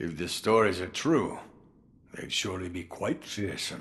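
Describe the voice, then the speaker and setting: A man puts on a character voice, pitched very deep and low, at a moderate pace. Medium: video game. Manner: chuckling, wry, unhurried.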